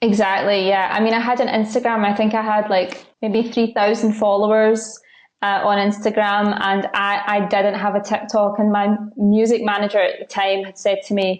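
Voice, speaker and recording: A woman's medium-pitched voice with a Scottish accent, monotone and flat, at a moderate pace with hardly any pauses. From Scotland. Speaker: content creator and singer-songwriter. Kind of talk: podcast interview. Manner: casual, many fillers.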